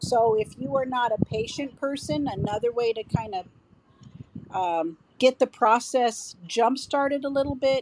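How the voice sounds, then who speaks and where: A woman speaks very slowly at a fairly high pitch. Her intonation is lively. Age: 60s. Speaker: CrossFit coach. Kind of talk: interview answer.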